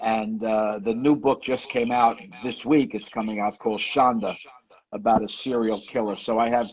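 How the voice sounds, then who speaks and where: A man talks at a moderate pace in a New York accent. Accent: New York, like the Sopranos. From New York, the Bronx. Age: 70s. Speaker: author. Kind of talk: interview.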